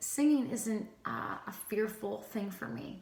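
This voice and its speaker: Against noticeable background noise and audible room echo, a woman speaks with a fairly high pitch and ordinary pitch variation. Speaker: co-host and worship singer. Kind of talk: vlog encouragement talk. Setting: just after studio taping. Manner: occasional stutter, trips over words; casual, many fillers.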